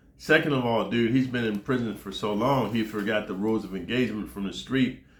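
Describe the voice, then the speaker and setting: A man's medium-pitched voice in an American accent, fairly quick, with fairly even intonation and audible room echo. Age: 60s. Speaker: former prisoner storyteller. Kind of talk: casual monologue. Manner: casual, slangy.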